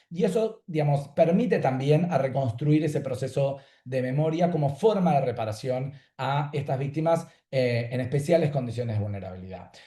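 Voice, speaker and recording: Over a quiet background, a somewhat breathy voice with a dark, mellow tone moves with lively intonation. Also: man, fairly high pitch for a man. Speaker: law professor. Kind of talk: panel talk. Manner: fast; clear.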